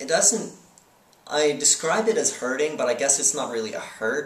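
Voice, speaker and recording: Audible room echo surrounds a man whose fairly high voice carries lively intonation. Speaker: person who stutters, interviewed. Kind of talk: interview. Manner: halting, with blocks and repetitions.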